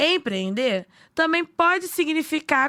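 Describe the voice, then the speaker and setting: A woman talks at a fairly slow pace in a bright, sharp tone. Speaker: podcast narrator. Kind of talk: news podcast narration.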